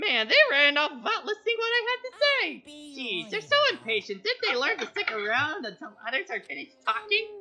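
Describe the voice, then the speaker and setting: In a put-on character voice, a woman speaks at a high pitch and a moderate pace, her smug tone riding very wide pitch swings. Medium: game stream. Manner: playfully smug, faux-innocent.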